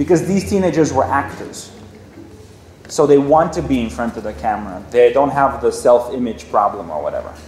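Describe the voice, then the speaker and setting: Over noticeable background noise, a man at medium pitch talks fairly quickly in an animated tone with lively intonation. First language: not English. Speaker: filmmaker. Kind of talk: Q&A session with students.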